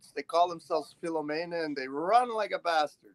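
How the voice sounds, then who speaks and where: A man talks in an animated tone, recorded with a dry, close sound and no echo. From Canada. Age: 60s. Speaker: streamer. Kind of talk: casual chat.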